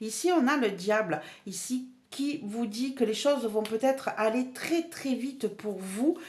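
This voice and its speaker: Using ordinary pitch variation, a woman with a fairly high pitch speaks at a very slow pace. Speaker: tarot card reader. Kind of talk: tarot reading monologue. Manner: animated; hesitant with fillers and repetitions.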